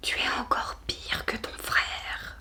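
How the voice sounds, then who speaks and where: A woman whispers at a very slow pace. Noticeable background noise sits behind her. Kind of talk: audiobook reading for sleep. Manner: whispered, soft-spoken.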